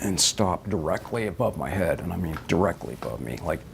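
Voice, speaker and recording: This man talks at a fairly quick pace. Noticeable background noise runs behind him. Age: 50s. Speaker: eyewitness interviewee. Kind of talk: interview testimony.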